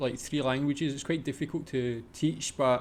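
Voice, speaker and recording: A man talks with a strong Scottish accent. His pitch sits fairly high. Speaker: reaction video creator. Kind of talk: casual reaction commentary.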